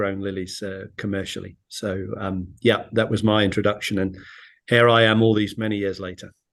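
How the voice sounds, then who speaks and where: With a British accent, a man speaks at a moderate pace. His pitch is fairly low and his intonation monotone and flat. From UK. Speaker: flower bulb exporter. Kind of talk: webinar panel talk. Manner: halting, many fillers.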